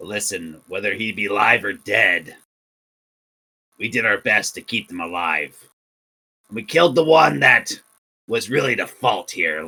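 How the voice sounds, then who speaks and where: A man uses a raspy, put-on character voice at a medium pitch. It has very wide pitch swings and long, frequent pauses. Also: moderate pace. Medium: actual play.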